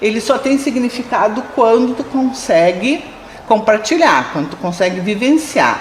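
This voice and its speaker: Noticeable background noise sits behind a woman speaking at a fairly slow pace. Her high-pitched voice has lively intonation. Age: 50s. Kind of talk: interview testimony.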